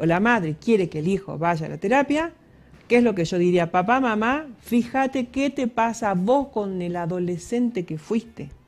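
A woman speaks at a moderate pace with lively intonation. Her pitch sits in the medium range. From Argentina. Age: 50s. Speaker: psychologist; guest. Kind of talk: radio interview. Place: studio. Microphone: headset.

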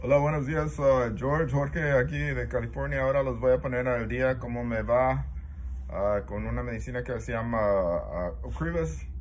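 A man with a very deep, low pitch speaks at a moderate pace with very wide pitch swings. Light background noise is present. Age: 60s. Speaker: multiple sclerosis patient vlogger. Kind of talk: personal video diary; casual vlog chat. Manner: halting, many fillers. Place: home room. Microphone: phone near.

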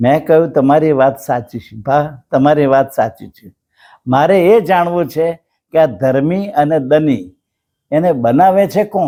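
With a dark, mellow tone, a man speaks at a fairly high pitch using lively intonation. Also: big swings in loudness. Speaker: storyteller vlogger. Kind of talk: storytelling monologue.

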